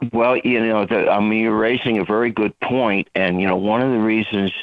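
A normal speaking voice from a man, fairly low-pitched, intonation fairly even. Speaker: baseball author and former professor. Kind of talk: casual interview.

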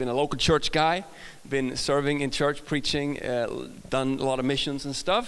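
In an American accent, a man with a fairly high pitch talks at a moderate pace in an upbeat, energetic tone. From Sweden. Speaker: guest pastor preaching a sermon. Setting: stage, church service. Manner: upbeat, humorous, energetic.

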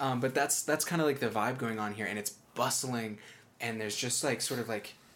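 The pitch moves in an ordinary way. It is plain reading aloud.

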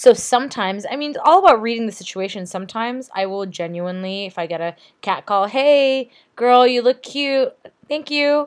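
With an ordinary speaking voice, a woman talks at a moderate pace and fairly high pitch, her lively intonation paired with big swings in loudness. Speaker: podcast co-host. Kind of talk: casual chat.

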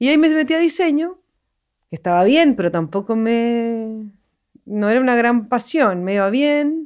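Her pitch rises and falls over a very wide range. The woman talks fairly slowly. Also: fairly high pitch for a woman, very even loudness. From Chile, Santiago. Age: 40s. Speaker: animation director. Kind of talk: interview.

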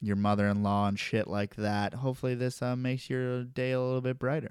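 In a very clean recording with a silent background, a man speaks with monotone, flat intonation. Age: 20s. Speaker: reptile podcast host. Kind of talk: casual solo podcast monologue. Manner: casual with frequent fillers.

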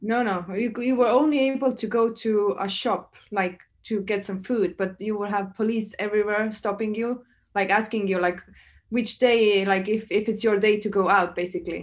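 Against a quiet background, a woman with an Estonian accent talks at a moderate pace, her fairly high pitch held in fairly even intonation. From Estonia (Saaremaa island). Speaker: DJ and music producer. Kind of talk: casual interview chat. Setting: hotel room, remote call.

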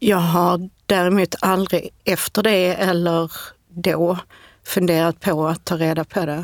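Her intonation is monotone and flat, and this woman speaks at a very slow pace. The sound is dry and close with no echo. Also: fairly low pitch for a woman. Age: 40s. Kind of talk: interview. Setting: studio.

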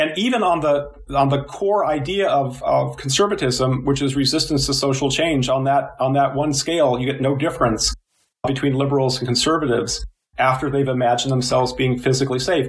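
Speaking at a fairly quick pace with a Midwestern US accent, a man with a fairly high, somewhat breathy voice keeps very even loudness and fairly even intonation. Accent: General American (Midwestern). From US Midwest (Illinois). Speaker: psychology professor. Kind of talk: interview.

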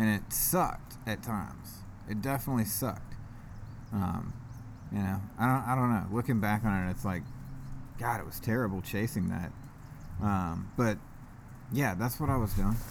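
A man with a fairly low pitch talks at a moderate pace with long, frequent pauses, and audible room echo surrounds his voice. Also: ordinary pitch variation. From US South, Georgia (East Cobb, Marietta). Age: 30s. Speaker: recovering addict sharing his story. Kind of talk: casual interview, recovery testimony.

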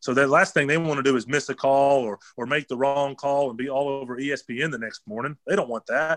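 A man's ordinary speaking voice, fairly high in pitch, at a fairly quick pace with hardly any pauses and fairly even intonation, in a dry, close sound with no echo. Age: 30s. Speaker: pro football player. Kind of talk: casual interview.

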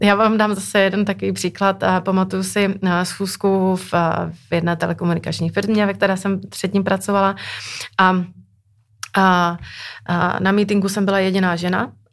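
In a very clean recording with a silent background, a woman speaks at a medium pitch in a flat monotone, pausing long and often. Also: moderate pace. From Moravia, Czechia. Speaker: telecom business executive. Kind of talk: interview. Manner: halting.

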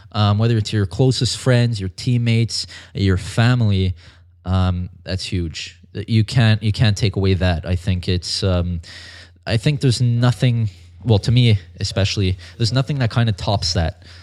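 A man with a fairly low pitch and an unremarkable speaking voice talks at a moderate pace with ordinary pitch variation, on a very clean recording with a silent background. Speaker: fitness model and personal trainer. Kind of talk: casual interview.

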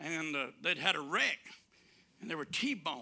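A man speaks in a raised, projected voice with a Southern US accent. His tone is bright and sharp, and his intonation is lively. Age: 70s. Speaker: preacher. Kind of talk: sermon.

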